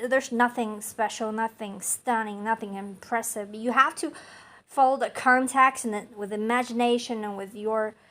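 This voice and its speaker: Speaking with a non-native accent, a woman uses a somewhat high voice whose pitch moves in a typical way. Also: very clean recording, silent background. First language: not English. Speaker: amateur poet and channel host. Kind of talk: poetry reading and commentary. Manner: animated; halting.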